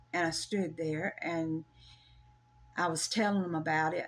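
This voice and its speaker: A woman speaks in a Southern US accent. Her pace is fairly slow. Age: 70s. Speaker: storyteller sharing a personal paranormal experience. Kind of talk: casual interview, personal story. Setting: in person at her home.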